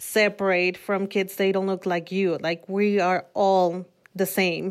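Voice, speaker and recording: On a very clean recording with a silent background, a woman speaks at a medium pitch. She has a Mexican accent and talks at a very slow pace. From Mexico City. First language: Spanish. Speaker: nonprofit worker. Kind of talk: interview conversation.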